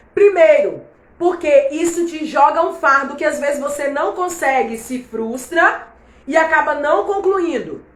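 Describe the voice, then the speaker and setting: A woman's high-pitched, animated voice at a fairly slow pace, with audible room echo and noticeable background noise. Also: ordinary pitch variation. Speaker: Bible teacher. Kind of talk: online Bible class livestream. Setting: live stream.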